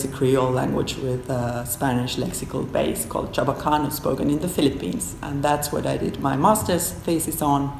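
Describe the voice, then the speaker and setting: Amid noticeable background noise and audible room echo, a woman in a Finnish accent talks at a moderate pace with ordinary pitch variation. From Finland. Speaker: professor. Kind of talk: interview; lecture. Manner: halting.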